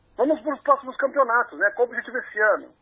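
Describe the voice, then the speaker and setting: A man speaks at an extremely high pitch. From Brazil, São Paulo. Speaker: former Olympic swimmer and physical educator. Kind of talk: interview.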